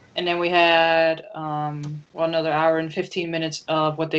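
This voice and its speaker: Very deep and low in pitch, a woman with a Dutch accent speaks at a moderate pace in a monotone, flat intonation. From Netherlands, Amsterdam. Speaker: comic book artist. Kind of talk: interview.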